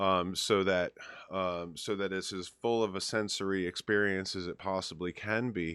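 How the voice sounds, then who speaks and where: Speaking at a moderate pace, the man has a fairly low pitch and a monotone, flat intonation. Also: dry, close sound with no echo. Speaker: DJ and chat show host. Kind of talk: casual chat. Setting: live stream with remote co-host over Skype.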